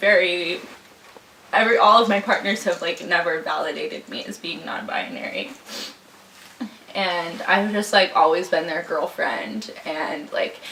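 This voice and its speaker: With audible room echo and noticeable background noise, a woman speaks at a fairly slow pace in a medium pitch, with big swings in loudness and long, frequent pauses. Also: ordinary pitch variation. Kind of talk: interview testimony. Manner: halting, filler-heavy.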